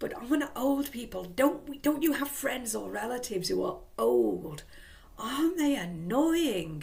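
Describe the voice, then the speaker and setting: In an English accent, a woman speaks high and fairly slowly, with very wide pitch swings. Room echo is audible. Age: 60s. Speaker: vlogger. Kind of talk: casual vlog monologue. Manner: rambling, conversational.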